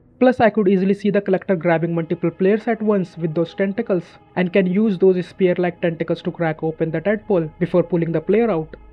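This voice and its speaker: Very fast delivery with hardly any pauses, fairly even intonation, and music in the background. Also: man, high pitch for a man. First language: not English. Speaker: gaming YouTuber. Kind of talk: scripted narration.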